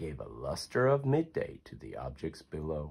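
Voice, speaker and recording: A man's animated, cheerful tone at a fairly slow pace, with a quiet background. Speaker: reader of a children's book. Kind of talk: poem read aloud to children, storybook narration. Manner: sing-song rhythmic, animated and cheerful, bedtime-story cadence. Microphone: phone near.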